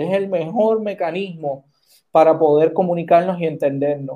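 A man with a Puerto Rican accent speaks at a moderate pace. His voice has a fairly high pitch, a dark, mellow tone and fairly even intonation. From Puerto Rico. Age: 30s. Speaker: senate candidate. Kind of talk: political interview.

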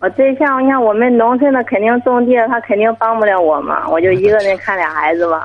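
Here a woman talks at a fairly quick pace with hardly any pauses, in an unremarkable speaking voice that is fairly high in pitch, with lively intonation and very even loudness. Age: 20s. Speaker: caller, young mother. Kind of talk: call-in advice.

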